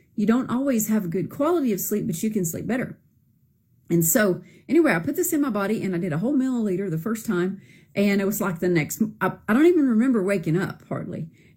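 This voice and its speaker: A woman with a Southern US accent, a dark, mellow tone, medium pitch, somewhat breathy delivery, lively intonation and a very fast pace. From Arkansas, US South. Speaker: product user giving testimonial. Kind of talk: testimony. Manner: casual, hesitant with fillers.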